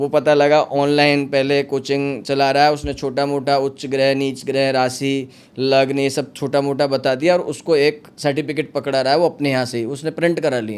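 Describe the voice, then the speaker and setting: This man's voice sits at a fairly high pitch, with monotone, flat intonation. He talks with hardly any pauses. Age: 40s. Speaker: astrologer. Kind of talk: podcast interview.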